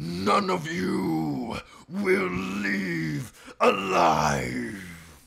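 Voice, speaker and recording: A booming, raspy, put-on character voice. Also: man, very deep, low pitch for a man. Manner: menacing.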